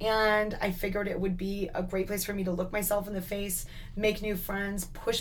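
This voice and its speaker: A woman speaks at a moderate pace with a Canadian accent and a medium pitch, and the room echo is audible. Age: 20s. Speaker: entrepreneur. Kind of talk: interview.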